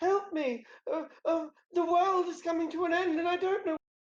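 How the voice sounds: A female-sounding voice does a put-on character voice at an extremely high pitch and a moderate pace.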